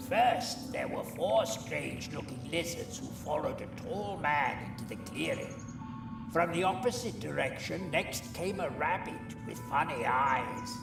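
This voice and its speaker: A cartoonish character voice moves at a moderate pace over loud background noise. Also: man. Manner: chatty, wry, with squawks.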